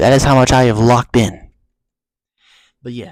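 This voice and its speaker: Soft-spoken, a man is heard in a very clean recording with a silent background. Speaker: gaming streamer. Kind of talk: casual vlog talk. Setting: at home, early morning. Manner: soft-spoken, keeping voice down; normally loud talker.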